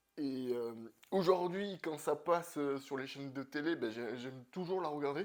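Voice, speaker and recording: At a moderate pace, the voice shows ordinary pitch variation. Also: man, fairly high pitch for a man. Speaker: comics youtuber. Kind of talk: casual video monologue. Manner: hesitant, many fillers.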